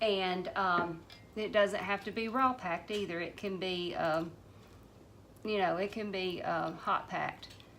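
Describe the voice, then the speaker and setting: In a Southern US accent, a woman of medium pitch speaks at a fairly slow pace with fairly even intonation, with noticeable background noise. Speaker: home canning vlogger. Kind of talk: casual how-to demonstration. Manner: mumbling; hesitant, many fillers.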